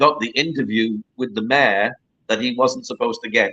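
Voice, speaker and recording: A man with a Cumbrian accent, bright and sharp in tone, his pitch swinging very widely. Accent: northern English (Cumbrian). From northern England, Carlisle. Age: 50s. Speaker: journalist and author. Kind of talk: interview chat.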